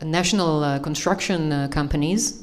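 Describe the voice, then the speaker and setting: A woman with an Israeli accent speaks at a very deep, low pitch. Audible room echo surrounds her voice. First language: Hebrew. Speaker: panelist on green building. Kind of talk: panel discussion. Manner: halting, many fillers.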